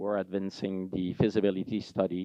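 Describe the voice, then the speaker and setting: Very deep, low male voice with a French-Canadian accent and monotone, flat intonation. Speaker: mining executive. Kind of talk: conference presentation. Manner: halting, with frequent fillers.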